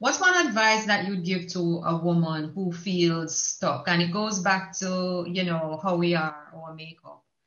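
A woman with a plain, everyday voice speaks at a fairly slow pace with hardly any pauses. Her pitch is fairly low and her intonation fairly even. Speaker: podcast host. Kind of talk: interview conversation.

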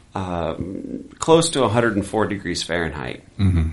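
An unremarkable speaking voice belongs to a man with a fairly low pitch. His pitch varies in an ordinary way. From US, military family, born in West Germany. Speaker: missionary. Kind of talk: testimony.

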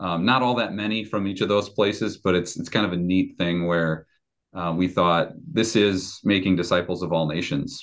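A man's very deep, low voice with ordinary pitch variation. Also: moderate pace. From Chicago area, US Midwest. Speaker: pastor. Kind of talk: casual chat.

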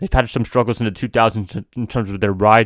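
The speech moves at a fairly quick pace in a very clean recording with a silent background and a dry, close sound with no echo. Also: man. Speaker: podcast host and YouTuber. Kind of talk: solo casual monologue. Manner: stuttering; casual, chatty.

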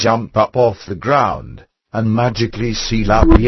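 The background stays quiet. A person reads aloud in a natural voice.

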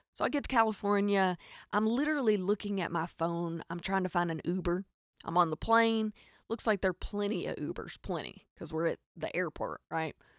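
With a Southern US accent, a woman speaks fairly quickly in an animated tone, at a medium pitch with ordinary variation. The very clean recording has a silent background and a dry, close sound with no echo. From Arkansas. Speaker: podcast host. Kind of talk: casual comedic storytelling monologue. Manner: animated, joking.

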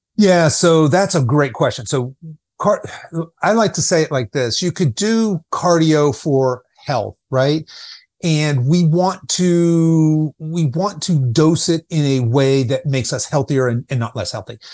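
In a dry, close sound with no echo, a man with a plain, everyday voice talks at a fairly slow pace, his fairly high pitch carrying lively intonation. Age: 50s. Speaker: fitness coach for people over fifty. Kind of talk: podcast interview.

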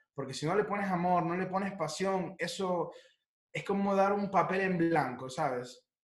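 A man with a high pitch and ordinary pitch variation, moderate pace, audible room echo. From Ecuador, then Italy from age 14. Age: 20s. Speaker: chef. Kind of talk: interview, casual chat.

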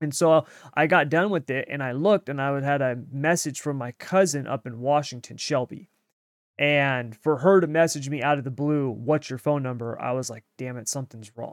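A man with an unremarkable speaking voice talks at a moderate pace, his pitch fairly high and its variation ordinary. The recording is very clean, dry and close, with no echo and a silent background. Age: 30s. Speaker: racing podcast host. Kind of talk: casual chat.

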